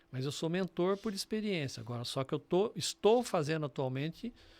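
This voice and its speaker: On a very clean recording with a silent background, a man with an unremarkable speaking voice and a fairly high pitch talks at a fairly quick pace with lively intonation. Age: 60s. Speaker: business mentor and entrepreneur. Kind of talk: podcast interview.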